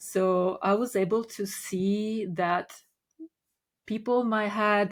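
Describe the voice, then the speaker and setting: At a very slow pace, a woman speaks with medium pitch and monotone, flat intonation. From Italy. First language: Italian. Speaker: Reiki master. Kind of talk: podcast interview.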